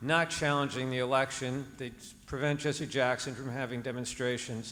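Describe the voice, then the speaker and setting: A man talks in a New Jersey accent at a moderate pace. The room echo is audible. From New Jersey, Hudson County. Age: 60s. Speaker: audience member asking question. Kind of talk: audience question. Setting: stage with audience.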